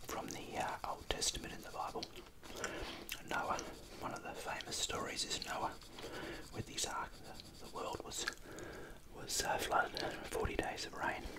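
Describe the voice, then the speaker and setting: Someone whispers quietly at a moderate pace, with long, frequent pauses, over loud background noise. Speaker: drawing tutor. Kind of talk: casual drawing tutorial chat. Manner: quiet ASMR whisper, chewing gum. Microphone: phone near.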